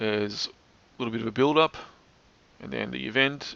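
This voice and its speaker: A man talks at a fairly quick pace. His words come out mumbled. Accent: Australian. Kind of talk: commentary narration over screen recording. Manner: fast, slightly mumbled.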